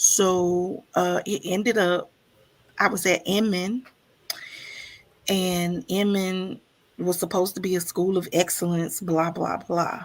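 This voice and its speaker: Her medium-pitched voice flat and monotone, a woman speaks at a very slow pace with long, frequent pauses. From US South (Mississippi), born in Chicago. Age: 50s. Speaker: stream host. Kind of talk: casual chat. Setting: livestream.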